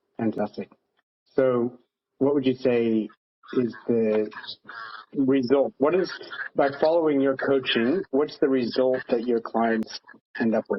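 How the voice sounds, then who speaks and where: A man with an American accent talks at a fairly slow pace with long, frequent pauses, ordinary pitch variation and very even loudness. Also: medium pitch for a man. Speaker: podcast host. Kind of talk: podcast interview.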